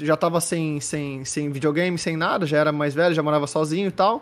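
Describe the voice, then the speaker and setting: A man speaks in a fairly high pitch with fairly even intonation, an ordinary speaking voice. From Santos, São Paulo coast, Brazil. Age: 30s. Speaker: esports commentator and host. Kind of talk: casual chat. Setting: live-streamed podcast call.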